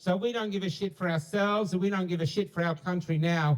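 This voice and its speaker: An Australian accent at a fairly quick pace, with ordinary pitch variation. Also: man. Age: 60s. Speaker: street activist. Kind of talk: public street address. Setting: outdoors. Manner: blunt.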